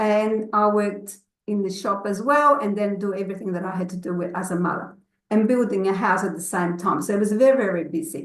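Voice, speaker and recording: A woman with a non-native accent, medium-pitched and fairly quick, with audible room echo. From grew up abroad, moved to Australia as a child. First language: not English. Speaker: network marketing consultant. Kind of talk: personal testimony in an online session. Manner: halting, many fillers.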